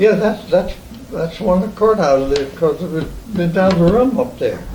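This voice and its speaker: Against noticeable background noise, a man with an American accent speaks at a moderate pace in a high pitch with ordinary variation. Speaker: oral history interviewee. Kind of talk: oral history interview. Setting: at home. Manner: halting.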